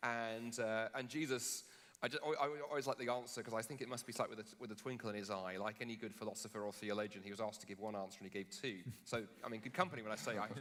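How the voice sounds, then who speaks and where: Speaking at a very fast pace, a man with a British accent keeps a medium pitch and fairly even intonation. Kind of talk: public debate. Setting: stage with live audience. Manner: halting, with many restarts.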